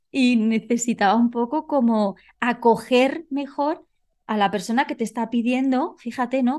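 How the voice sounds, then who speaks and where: A woman's high voice with ordinary pitch variation against a quiet background. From Spain. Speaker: coach and nonverbal behavior expert. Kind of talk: interview. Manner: halting.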